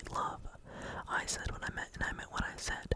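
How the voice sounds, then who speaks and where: The voice is whispering. Noticeable background noise accompanies it. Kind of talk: ASMR gameplay commentary, casual talk to camera. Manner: whispered, soft-spoken.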